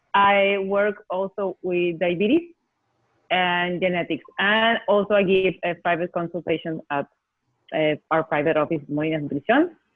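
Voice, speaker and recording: A woman with a Spanish accent speaks at a moderate pace and medium pitch, with ordinary pitch variation. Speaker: nutritionist and researcher. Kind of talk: interview.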